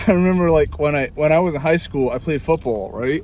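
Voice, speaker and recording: The speaker has a New York accent. Noticeable background noise is present. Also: man. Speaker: music teacher. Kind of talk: tutorial; casual chat. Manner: informal.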